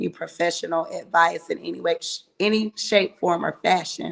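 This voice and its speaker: The voice is loud and moves at a moderate pace. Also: woman. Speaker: live show co-host. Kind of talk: casual live talk show.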